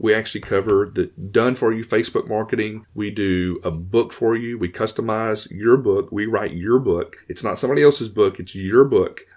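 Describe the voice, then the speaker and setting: A man's fairly low voice in a Louisiana accent at a moderate pace. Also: quiet background. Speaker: chiropractic marketing consultant and podcaster. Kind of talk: interview conversation.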